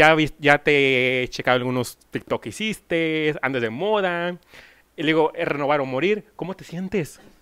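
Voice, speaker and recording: A man speaks fairly slowly in a fairly high, bright, sharp voice with ordinary pitch variation. His loudness swings widely against a quiet background. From Mexico, Monclova (Coahuila); Coahuila, Mexico. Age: 30s. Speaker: singer-songwriter interviewer. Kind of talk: casual interview. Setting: at the guest's home. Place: home room. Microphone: handheld.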